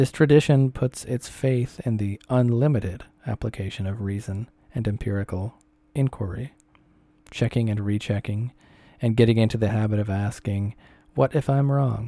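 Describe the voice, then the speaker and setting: A man's dark, mellow tone with fairly even intonation and a dry, close sound with no echo. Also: medium pitch for a man, moderate pace. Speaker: narrator reading an essay aloud. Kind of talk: reading aloud. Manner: halting, stumbles over words.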